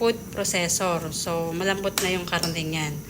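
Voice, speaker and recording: Fairly slow speech from a woman, noticeable background noise underneath. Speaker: cooking vlogger. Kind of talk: cooking tutorial. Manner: casual, chatty.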